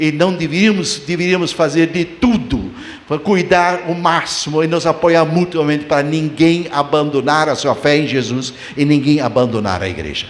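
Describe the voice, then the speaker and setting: Noticeable background noise and audible room echo around a man's fairly high voice, delivered at a moderate pace. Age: 70s. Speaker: pastor. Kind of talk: sermon. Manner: halting.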